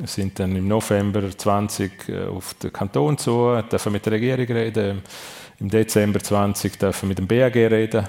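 A man speaks in a plain, everyday voice at a fairly low pitch. His intonation is fairly even and his pace fairly slow. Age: 50s. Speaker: sports and tourism executive. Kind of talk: live radio talk show interview. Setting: restaurant event venue with live audience.

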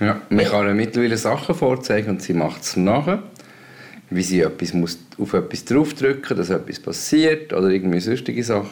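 A man speaks in a plain, everyday voice, his fairly low pitch carried by lively intonation. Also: moderate pace. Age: 50s. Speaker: co-host and father. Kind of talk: casual chat.

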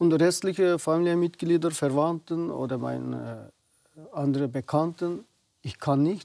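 A man with a Uyghur accent speaks at a fairly slow pace, his fairly high voice carrying a dark, mellow tone. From Xinjiang, western China (Uyghur). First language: Uyghur (speaking German). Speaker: naturopath and community association president. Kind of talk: TV interview. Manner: halting.

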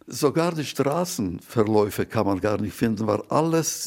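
A man with vocal fry and lively intonation at a fairly slow pace, in a very clean recording with a silent background. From Poland, Warsaw. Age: 80s+. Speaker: Holocaust survivor and eyewitness. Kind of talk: testimony.

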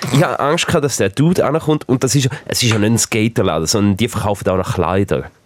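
Delivered at a very fast pace with lively intonation, the speech carries a Swiss accent. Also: man. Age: 30s. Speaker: distribution manager at a broadcaster. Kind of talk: casual chat. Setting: studio.

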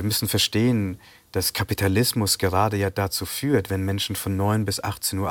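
A man with a fairly low pitch talks at a moderate pace in a very clean recording with a silent background and a dry, close sound with no echo. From Bavaria, Germany (Sri Lankan Tamil family). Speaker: novelist. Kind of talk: interview. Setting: TV studio.

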